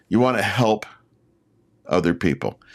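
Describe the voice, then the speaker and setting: A man speaks at a moderate pace in a fairly low pitch, his intonation lively. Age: 60s. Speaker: YouTube creator. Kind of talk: casual talk to camera, live stream. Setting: live stream.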